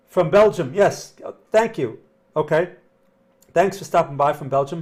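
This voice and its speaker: A man shouting in a high pitch for a man. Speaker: trading analyst livestreamer. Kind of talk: live stream market analysis. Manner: loud, yelling.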